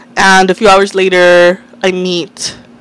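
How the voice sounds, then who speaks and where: Noticeable background noise can be heard. Through it, a woman talks. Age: 30s. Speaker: podcast host. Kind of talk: casual monologue. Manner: candid, conversational.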